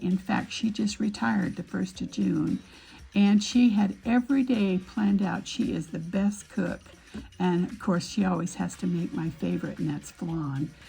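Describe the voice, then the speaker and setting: Over music in the background, a woman with an American accent talks at a medium pitch. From Nevada, USA. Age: 70s. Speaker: aesthetician. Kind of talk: casual talk to camera.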